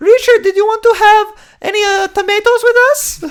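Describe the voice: A put-on character voice, shrill and extremely high in pitch, comes in a Romanian accent. It moves at a moderate pace.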